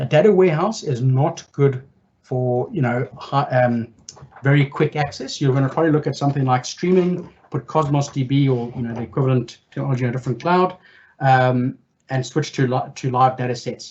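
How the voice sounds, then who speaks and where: A man's somewhat breathy, medium-pitched voice at a fairly quick pace, with ordinary pitch variation. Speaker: data consultancy director moderating Q&A. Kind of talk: tech meetup Q&A answers. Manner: fast.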